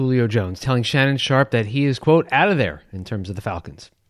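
At a fairly quick pace, a man with an American accent talks in an ordinary speaking voice of medium pitch with lively intonation. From Long Island, New York. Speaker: podcast co-host reading news. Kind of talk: news reading.

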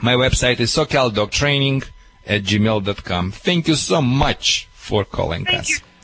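Over noticeable background noise, a man with a Russian accent speaks fairly slowly at a medium pitch, his intonation lively and his loudness very even. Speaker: dog trainer. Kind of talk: radio call-in advice. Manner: animated.

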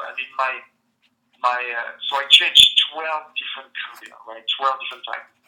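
This man talks at a fairly quick pace with a French accent. He leaves long, frequent pauses. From France. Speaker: entrepreneur and comedian. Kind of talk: interview.

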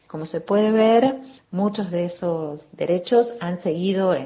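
Over noticeable background noise, a woman speaks at a fairly slow pace, her fairly low pitch showing ordinary variation. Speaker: sociologist and gender studies professor. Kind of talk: recorded expert commentary.

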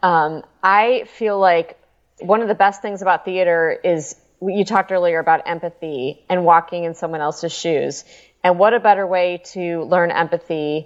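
This is a normal speaking voice with an American accent. The pace is moderate and the intonation fairly even. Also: woman. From US Midwest, Chicago. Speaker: nonprofit executive director. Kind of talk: casual chat.

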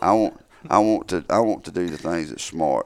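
A man's fairly quick, lively delivery in a Southern US accent, with vocal fry. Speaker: turkey hunter and call maker. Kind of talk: casual chat. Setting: studio. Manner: halting.

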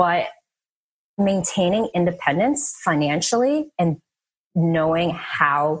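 A woman with an American accent speaks in a fairly low, somewhat breathy voice with lively intonation against a quiet background. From New Jersey. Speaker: former pro tennis player, real estate investor. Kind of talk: interview.

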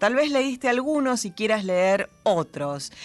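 A woman is speaking. Her voice is high-pitched. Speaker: radio host. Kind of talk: poetry reading, reading aloud on late-night radio. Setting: studio. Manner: measured, expressive, intimate poetic delivery.

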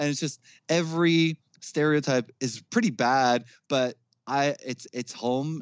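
Someone speaks at a fairly slow pace in a New Jersey accent. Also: man. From New Jersey, Jersey City. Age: 30s. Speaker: metal band vocalist. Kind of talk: casual chat.

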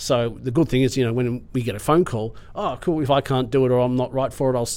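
Very fast speech in an Australian accent, dark and mellow in tone, with fairly even intonation. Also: man. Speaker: film crew technician. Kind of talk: casual interview chat. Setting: classroom with students.

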